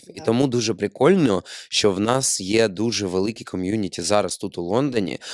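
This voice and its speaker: A man with a plain, everyday voice speaks at a fairly quick pace in a fairly low pitch with ordinary pitch variation, dry and close with no echo on a very clean recording with a silent background. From Ukraine, Odesa. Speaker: podcast host, actor. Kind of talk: casual chat. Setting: studio.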